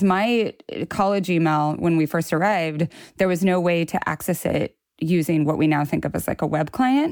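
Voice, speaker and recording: A woman speaks in an ordinary speaking voice at a fairly low pitch and a moderate pace, with ordinary pitch variation and very even loudness. The recording is very clean, with a silent background. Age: 40s. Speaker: writer. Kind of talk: casual chat.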